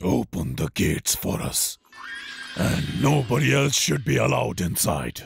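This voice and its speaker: Using a cartoonish character voice, a man growls in a very deep, low, raspy register with very wide pitch swings at a moderate pace, the sound dry and close with no echo. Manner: commanding, theatrical.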